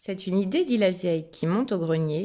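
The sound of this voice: What we hear is someone reading in an unforced voice.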